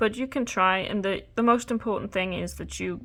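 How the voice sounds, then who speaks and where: A woman's medium-pitched voice with vocal fry and ordinary pitch variation at a moderate pace, on a very clean recording with a silent background. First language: not English. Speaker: crochet tutorial creator. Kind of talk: tutorial. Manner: halting, many fillers.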